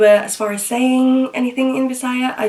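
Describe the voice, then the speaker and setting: Over noticeable background noise, a woman speaks in a British accent. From Philippines, Metro Manila until 8, then England. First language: Tagalog. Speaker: vlogger. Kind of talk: casual chat. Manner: casual, many fillers (um, like).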